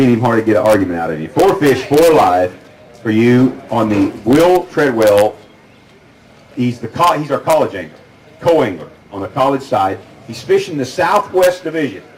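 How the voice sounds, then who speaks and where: Over noticeable background noise, a man with an American accent talks at a fairly quick pace in a medium pitch, his voice swinging very widely up and down. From California, San Joaquin Valley. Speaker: tournament weigh-in emcee. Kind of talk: live weigh-in announcing. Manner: animated.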